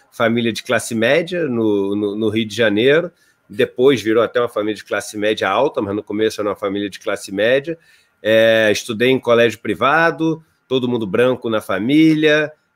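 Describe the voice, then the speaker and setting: A man at a moderate pace, with ordinary pitch variation and big swings in loudness, against a quiet background. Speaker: interview guest. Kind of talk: interview answer. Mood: calm, reflective. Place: home room. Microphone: earbuds.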